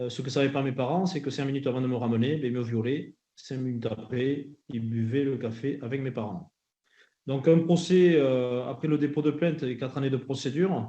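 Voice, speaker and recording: A man with a southwestern French accent speaks at a moderate pace in a dark, mellow tone, medium in pitch with fairly even intonation. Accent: southwestern French (Landes). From southwestern France, Landes. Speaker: association director, former rugby player, abuse survivor. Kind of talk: testimony at parliamentary hearing. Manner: halting, many hesitations.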